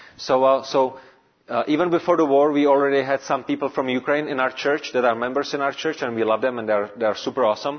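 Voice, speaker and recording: A man's medium-pitched voice with a Czech accent, very fast, with fairly even intonation. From Czech Republic, Prague. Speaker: pastor. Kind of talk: sermon. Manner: halting.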